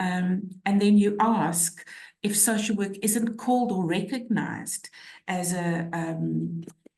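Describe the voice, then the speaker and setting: Speaking very slowly, a woman uses fairly even intonation at a medium pitch. She has a South African accent. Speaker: social work academic. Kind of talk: webinar discussion.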